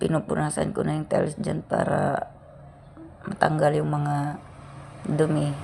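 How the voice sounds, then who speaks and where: A woman speaks fairly slowly while noticeable background noise runs underneath. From Philippines, rural province. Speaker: vlogger. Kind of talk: casual vlog narration. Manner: casual, chatty.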